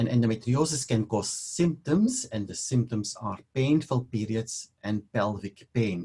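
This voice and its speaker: Speaking in a Belgian accent, a man of medium pitch talks at a fairly slow pace, with a dark, mellow tone that is somewhat breathy. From Belgium (Leuven). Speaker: fertility specialist doctor. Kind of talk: webinar lecture.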